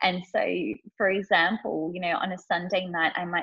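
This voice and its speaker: A woman with an ordinary speaking voice talks at a moderate pace and medium pitch, her intonation fairly even. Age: 30s. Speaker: life coach and HR manager. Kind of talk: casual interview.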